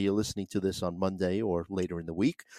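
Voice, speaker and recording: A man on a very clean recording with a silent background, the sound dry and close with no echo. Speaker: fantasy baseball podcast host. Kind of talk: casual chat and baseball analysis. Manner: frequent filler words, laughs often.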